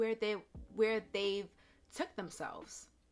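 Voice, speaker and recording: A woman's fairly high voice over music in the background. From Jamaican heritage. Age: 30s. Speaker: YouTuber. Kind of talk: casual talk to camera.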